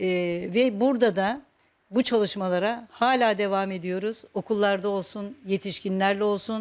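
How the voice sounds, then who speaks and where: Her pitch is medium and varies in an ordinary way, and the woman talks at a moderate pace. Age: 60s. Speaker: retired teacher and folk dance instructor. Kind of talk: personal interview monologue. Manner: hesitant, with frequent fillers.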